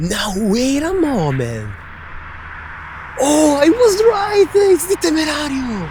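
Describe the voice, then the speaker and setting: Very slow delivery with long, frequent pauses and very wide pitch swings, against noticeable background noise. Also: woman, high pitch for a woman. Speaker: car spotting vlogger. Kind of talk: live commentary. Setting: outdoors. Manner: animated.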